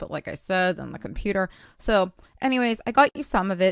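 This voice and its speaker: A woman's plain, everyday voice at medium pitch, with ordinary pitch variation, in a dry, close sound with no echo and a very clean recording, silent background. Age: 40s. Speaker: YouTube channel owner sharing a recording. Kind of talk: casual vlog talk to viewers.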